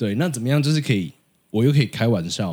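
Here a man speaks very fast with lively intonation and a dark, mellow tone. The recording is very clean, with a silent background. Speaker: podcaster who interviews people about their jobs. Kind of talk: casual chat.

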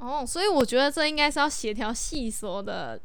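A woman talks at a moderate pace. Her voice sits high in pitch. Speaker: student podcast host. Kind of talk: casual chat.

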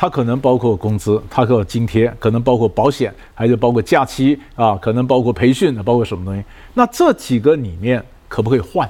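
A moderate pace accompanies a dark, mellow tone in this voice. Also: man. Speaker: negotiation expert and professor. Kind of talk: interview.

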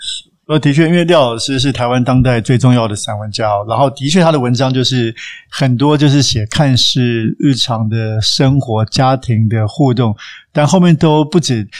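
Medium pitch and ordinary pitch variation in a man's normal speaking voice. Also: moderate pace. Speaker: podcast co-host. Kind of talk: interview.

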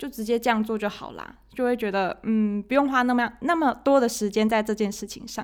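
On a very clean recording with a silent background, a woman with a fairly high pitch and fairly even intonation speaks at a fairly quick pace with hardly any pauses. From Taiwan. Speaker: accounting and finance office worker. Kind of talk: casual interview chat.

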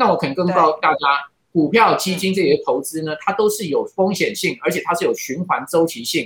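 Loudness swings widely as a man speaks at a fairly quick clip. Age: 50s. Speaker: financial commentator. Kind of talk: interview. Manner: frequent fillers and hesitations.

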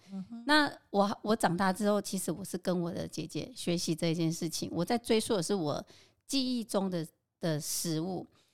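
In a very clean recording with a silent background, a woman with an unremarkable speaking voice talks at a moderate pace and medium pitch, her intonation lively. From Taiwan, Qingshui (Taichung). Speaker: home cook and local food experience designer. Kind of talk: casual interview.

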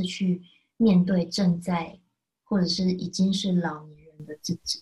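Speaking with a Taiwanese accent, a woman uses a medium-pitched, dark, mellow, somewhat breathy voice at a fairly slow pace. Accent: Taiwanese Mandarin. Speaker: podcast co-host presenting book picks. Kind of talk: casual chat.

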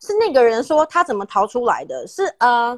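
A woman's high-pitched voice, dry and close with no echo. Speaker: podcast host. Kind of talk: casual chat.

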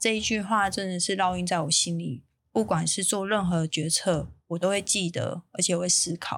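Recorded very cleanly with a silent background, a woman speaks at a moderate pace with hardly any pauses. Her pitch is fairly low and shows ordinary variation. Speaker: bakery chain founder. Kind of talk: interview. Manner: reading from notes at first, formal.

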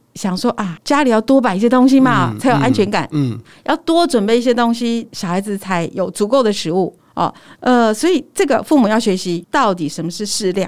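Against a silent background on a very clean recording, a woman with a fairly high-pitched voice talks at a fairly quick pace with very wide pitch swings. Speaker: nutritionist. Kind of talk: casual interview chat. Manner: smiling but firm.

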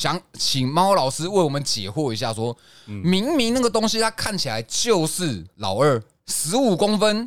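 Heard in a very clean recording with a silent background, a man speaks at a high pitch and a fairly slow pace, his pitch swinging very widely. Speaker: podcast host. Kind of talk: casual chat; heated debate.

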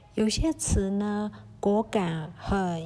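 A woman speaks in a relaxed tone that is dark and mellow. Her voice is somewhat breathy, with lively intonation. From Myanmar, Kokang ethnic Chinese. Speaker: podcast host. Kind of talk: solo podcast talk on dialect words. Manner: hesitant, many fillers; casual, relaxed.

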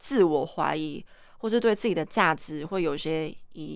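A plain, everyday voice with lively intonation, delivered at a moderate pace. The recording is very clean, with a silent background. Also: woman. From Taiwan, Kaohsiung. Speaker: artist. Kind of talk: casual chat. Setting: studio.

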